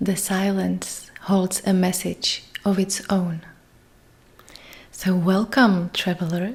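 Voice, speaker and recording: A soft-spoken, calm, monotone voice with flat intonation, a very slow pace and long, frequent pauses. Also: woman, medium pitch for a woman. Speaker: meditation guide. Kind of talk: meditation intro talk. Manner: soft, calm.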